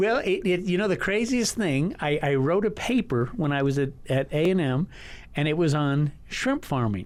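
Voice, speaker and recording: With a West Texas accent, a man speaks at a fairly high pitch. His pitch swings very widely while his loudness stays very even. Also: moderate pace. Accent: West Texas American. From El Paso, Texas. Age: 60s. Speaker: learning center owner. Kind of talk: casual interview. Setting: radio studio. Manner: halting, many repeated words.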